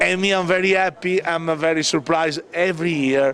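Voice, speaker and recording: The voice shows ordinary pitch variation. Background noise is noticeable. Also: man. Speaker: reggae DJ and festival organizer. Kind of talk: backstage interview. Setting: backstage at music festival. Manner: halting, many fillers.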